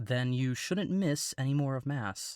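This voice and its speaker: A man speaks in a put-on character voice at a medium pitch. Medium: read story.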